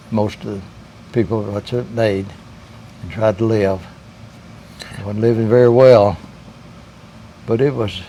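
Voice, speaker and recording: Fairly even intonation broken by long, frequent pauses, with noticeable background noise. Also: man, fairly low pitch for a man. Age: 90s. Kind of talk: interview answer, personal recollection.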